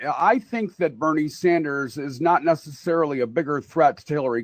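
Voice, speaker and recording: A man has a plain, everyday voice, pitched fairly high with lively intonation. The sound is dry and close, with no echo. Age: younger than 61. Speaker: radio talk show host. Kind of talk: political discussion.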